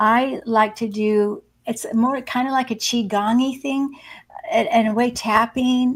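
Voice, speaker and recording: This is an ordinary speaking voice. The intonation stays fairly even. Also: woman. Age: 60s. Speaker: psychic medium and hospice nurse. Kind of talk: casual interview.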